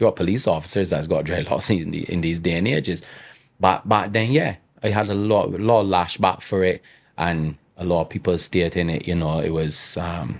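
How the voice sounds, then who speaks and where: A man with a strong Bajan accent speaks at a moderate pace in a very deep, low voice, with ordinary pitch variation. The recording is very clean, with a silent background. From Barbados. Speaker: entrepreneur. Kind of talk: casual chat.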